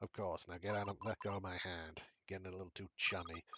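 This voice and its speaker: In a put-on character voice, a man rattles off lines at a very fast pace with a very deep, low pitch and flat, monotone intonation. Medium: game stream.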